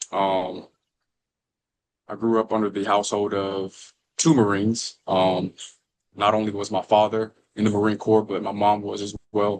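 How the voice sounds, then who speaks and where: A man speaks at a moderate pace in a fairly low, monotone, flat voice. He leaves long, frequent pauses. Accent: American. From Alabama, near Birmingham. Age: 20s. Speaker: firefighter, former college baseball player. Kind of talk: podcast interview. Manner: casual, with many fillers.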